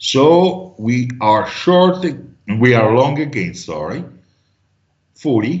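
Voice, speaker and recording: Speaking at a very slow pace with long, frequent pauses, a man's medium-pitched, somewhat breathy voice makes very wide pitch swings. Room echo is audible. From Italy. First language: Italian. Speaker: trading teacher. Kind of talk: online class.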